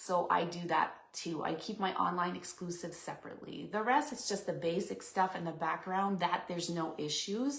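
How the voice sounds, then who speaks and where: The speaker has a Quebec accent and vocal fry, with ordinary pitch variation. The pace is moderate, with hardly any pauses. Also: woman, fairly low pitch for a woman. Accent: French Canadian accent in English. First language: French. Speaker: papercraft demonstrator. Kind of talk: live stream craft demo chat. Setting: live stream from home craft room. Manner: casual, chatty with fillers.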